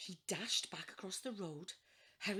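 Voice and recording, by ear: Intonation is lively here. The speaker is reading aloud in a natural voice.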